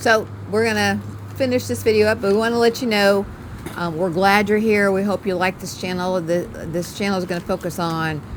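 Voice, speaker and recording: A woman speaks at a medium pitch, her pitch varying in an ordinary way, with noticeable noise in the background. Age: 50s. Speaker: video creator, wife. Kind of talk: casual chat.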